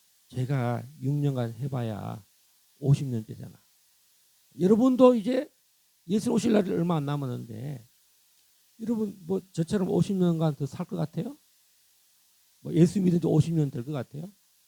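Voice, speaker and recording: With very wide pitch swings and long, frequent pauses, a man speaks at a fairly high pitch. His tone is dark and mellow, and somewhat breathy. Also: moderate pace. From South Korea, countryside. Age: 60s. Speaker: pastor. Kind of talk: sermon. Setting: church. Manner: animated.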